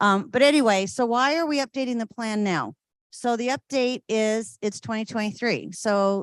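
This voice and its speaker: An unremarkable speaking voice moves at a moderate pace with ordinary pitch variation, the sound dry and close with no echo over a quiet background. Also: woman. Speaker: city parks staff presenter. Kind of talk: public meeting presentation.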